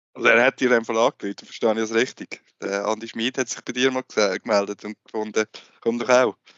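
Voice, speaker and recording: A man speaks at a very fast pace. His medium-pitched voice has monotone, flat intonation. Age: 30s. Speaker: sports journalist, co-host. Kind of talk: casual interview.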